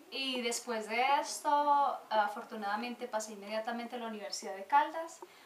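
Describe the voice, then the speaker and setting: A woman talks at a moderate pace in a fairly high voice with ordinary pitch variation, noticeable background noise behind her. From Colombia, Manizales. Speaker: church volunteer and translator. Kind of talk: interview.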